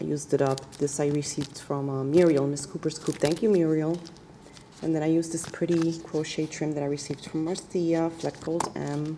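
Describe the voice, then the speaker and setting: A soft-spoken woman talks at a fairly quick pace with a very deep, low pitch. Her intonation is flat and monotone, with noticeable background noise behind her. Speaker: card-making crafter. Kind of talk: craft show-and-tell vlog.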